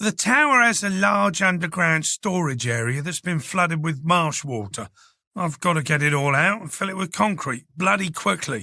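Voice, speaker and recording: Putting on a raspy character voice, a man speaks at a high pitch with very wide pitch swings and a moderate pace, on a very clean recording with a silent background. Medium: read story. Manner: brusque, irritable.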